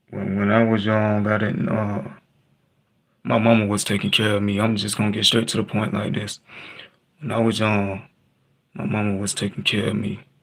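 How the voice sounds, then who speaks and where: Speaking at a moderate pace with long, frequent pauses, a man keeps a fairly low pitch and a monotone, flat intonation. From Texas. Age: 20s. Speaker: livestreamer. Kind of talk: personal storytelling on livestream. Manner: halting.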